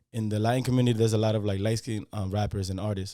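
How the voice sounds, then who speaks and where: A man with a fairly low pitch and a dark, mellow tone talks at a very fast pace. The recording is very clean, with a silent background. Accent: slight Spanish. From Dominican Republic, moved to Yonkers NY at nine. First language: Spanish. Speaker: rapper. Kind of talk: interview.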